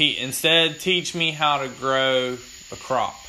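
Noticeable background noise behind a man speaking with a fairly high pitch. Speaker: podcast host. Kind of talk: casual chat. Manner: loud.

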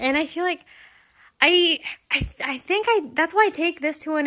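A woman uses a raised, projected voice with a bright, sharp tone, lively intonation, and an animated delivery at a moderate pace. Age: 18. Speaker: podcast host. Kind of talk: casual monologue.

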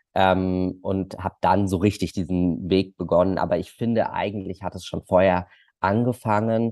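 A man speaks at a very deep, low pitch with a dark, mellow tone. His delivery is monotone and flat at a moderate pace, over a quiet background. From Germany, Munich. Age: 20s. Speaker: social media creator. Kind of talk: casual interview.

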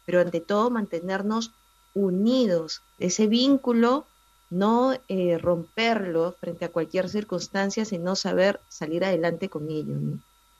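Using a normal speaking voice, a woman talks at a fairly slow pace in a medium pitch with ordinary pitch variation. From Peru, Lima. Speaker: family columnist. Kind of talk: radio interview.

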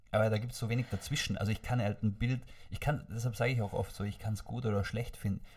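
A man with a medium pitch and a somewhat breathy voice speaks at a very fast pace, his intonation fairly even. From Austria, Vorarlberg. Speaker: podcast guest. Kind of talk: casual chat. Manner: stammering.

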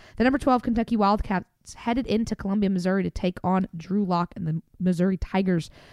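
A woman with a Southern US accent speaks at a very fast pace, her medium pitch showing ordinary variation and big swings in loudness. The recording is very clean and dry, close with no echo, over a silent background. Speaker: podcast host. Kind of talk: casual sports recap chat.

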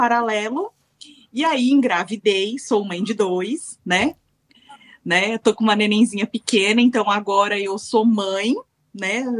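An ordinary speaking voice at a fairly slow pace, dry and close with no echo. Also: woman. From Brazil. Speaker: web TV team member. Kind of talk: casual chat.

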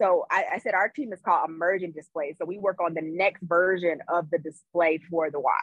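A woman with a fairly low pitch speaks in an American accent at a fairly quick pace, with hardly any pauses. Her pitch varies in an ordinary way, and music plays in the background. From US South, Greensboro, North Carolina. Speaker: electrical engineer. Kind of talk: interview.

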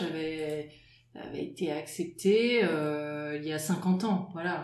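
A woman speaks with ordinary pitch variation while audible room echo lingers around her words. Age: 40s. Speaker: water polo player, works in advertising. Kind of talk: interview. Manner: halting.

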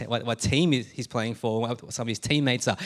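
In an Australian accent, a man at medium pitch talks at a fairly quick pace with fairly even intonation. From Australia (Melbourne, born Adelaide). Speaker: pastor. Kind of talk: sermon. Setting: church.

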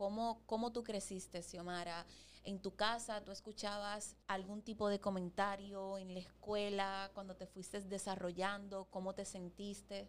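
A woman speaks at a medium pitch and a fairly slow pace, her intonation flat and monotone. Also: hardly any pauses. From Dominican Republic. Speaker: podcast co-host. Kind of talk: casual chat. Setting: studio.

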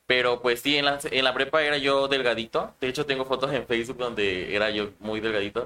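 With fairly even intonation, a plain, everyday voice talks at a fairly quick pace. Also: man, medium pitch for a man. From Chiapas, Mexico. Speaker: drag queen. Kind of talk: interview. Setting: livestream.

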